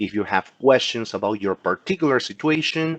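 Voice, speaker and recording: Recorded with a dry, close sound and no echo, a man with a Peruvian accent speaks at a moderate pace with lively intonation. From Peru, Lima. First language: Spanish. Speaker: insurance agent. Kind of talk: educational class. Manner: halting.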